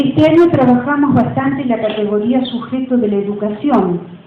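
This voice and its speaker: A woman with a high-pitched voice speaks at a moderate pace with ordinary pitch variation. Audible room echo and noticeable background noise fill the recording. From Río de la Plata region. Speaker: university professor. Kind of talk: lecture.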